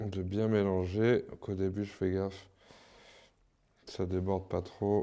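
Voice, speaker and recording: A man speaks very slowly in a fairly low pitch with a dark, mellow tone. His intonation is monotone and flat, with long, frequent pauses. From France, Paris region. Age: 30s. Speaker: street artist. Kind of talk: interview and demonstration. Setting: artist's workshop.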